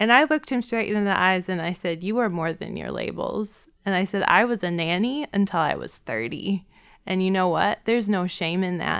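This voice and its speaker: A woman with an American accent talks at a moderate pace and medium pitch, her intonation lively. It is a plain, everyday voice on a very clean recording with a silent background. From Wisconsin, Milwaukee. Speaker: therapist and podcast co-host. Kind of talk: casual chat. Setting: studio.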